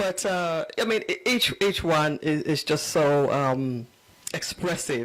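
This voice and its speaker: Talking is drawn out at a very slow pace. A noticeable hum of background noise sits behind it. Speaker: talk show host. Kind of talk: talk show interviewing.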